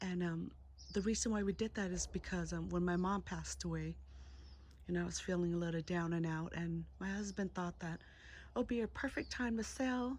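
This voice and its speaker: A woman with a Californian accent talks at a moderate pace. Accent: Californian American English. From Southern California, San Diego. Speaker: plant vlogger. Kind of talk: home tour vlog.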